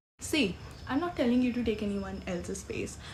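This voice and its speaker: A woman's voice carries audible room echo. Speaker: lifestyle vlogger. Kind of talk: casual motivational talk to camera. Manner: loud; animated.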